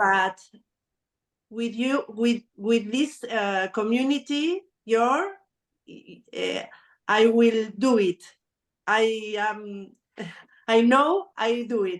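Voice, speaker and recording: Speaking with a Spanish accent, a woman uses a fairly high pitch with ordinary pitch variation. Her very slow pace has long, frequent pauses against a quiet background. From Argentina. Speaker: small factory owner. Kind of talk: group sharing on video call. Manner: halting.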